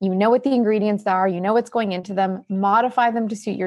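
A woman with a Canadian accent and an unremarkable speaking voice talks at a fairly quick pace. Her pitch is medium. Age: 40s. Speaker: nutritionist and author. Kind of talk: interview.

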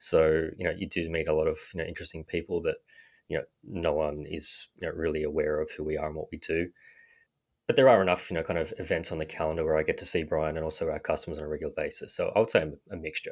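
Over a quiet background, a man with an Australian accent talks at a very fast pace. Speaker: sales manager. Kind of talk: casual interview. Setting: remote call.

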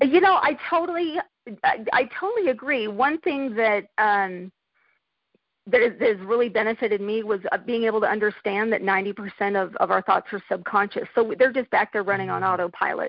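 A woman speaks at a moderate pace with a normal speaking voice. Her pitch is fairly high and her intonation lively. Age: 50s. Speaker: life coach and entrepreneur. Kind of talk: interview.

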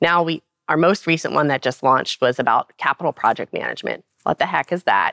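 A woman with an American accent speaks at a fairly quick pace in a very deep, low voice with ordinary pitch variation, the sound dry and close with no echo. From Baltimore, Maryland. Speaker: nonprofit president. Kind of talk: interview. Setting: live event at a trade conference.

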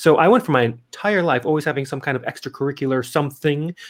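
A man speaks in a normal speaking voice, fairly high-pitched for a man, with ordinary pitch variation and an American accent. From Montana, US. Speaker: professional entertainer and podcast host. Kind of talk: interview. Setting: remote call.

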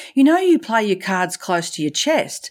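A woman's voice with very wide pitch swings on a very clean recording with a silent background. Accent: Australian. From Australia. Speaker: professional speaker and leadership consultant. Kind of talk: casual interview chat. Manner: animated, playful.

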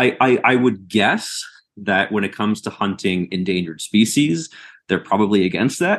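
Against a quiet background, a man with a normal speaking voice talks at a moderate pace and fairly low pitch, his pitch varying in an ordinary way. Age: 30s. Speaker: PhD researcher in environmental science. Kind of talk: interview.

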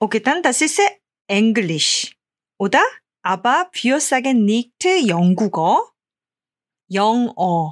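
With a Korean accent, a woman speaks very slowly at a fairly high pitch, her voice swinging very widely, broken by long, frequent pauses. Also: very even loudness. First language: Korean (speaking German). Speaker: Korean language teacher. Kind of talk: language lesson. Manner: halting.

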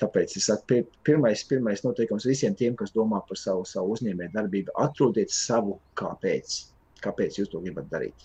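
A man's somewhat breathy, medium-pitched voice with lively intonation. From Latvia, Limbaži. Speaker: entrepreneur, vape shop owner. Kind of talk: interview talk. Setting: video call. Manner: halting, many repeated words.

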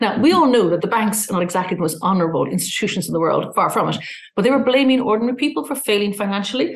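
Speaking very fast in an Irish accent, a woman's medium-pitched voice makes very wide pitch swings. Noticeable background noise is present. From Ireland. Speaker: journalist and publication founder. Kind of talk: interview.

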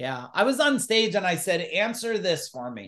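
Loud and animated, a man speaks at a fairly slow pace in a high voice with very wide pitch swings. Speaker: entrepreneur and business coach. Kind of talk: casual interview.

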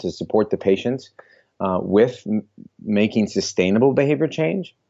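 A man with a fairly low pitch speaks in an ordinary speaking voice at a moderate pace, with ordinary pitch variation. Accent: American. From US Midwest, Iowa (Des Moines). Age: 20s. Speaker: health coach and author. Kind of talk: casual interview chat.

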